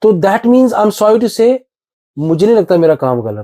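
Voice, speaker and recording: A man speaks with lively intonation and a dark, mellow tone. The sound is dry and close, with no echo. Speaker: stand-up comedian. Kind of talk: podcast interview answer. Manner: casual, conversational.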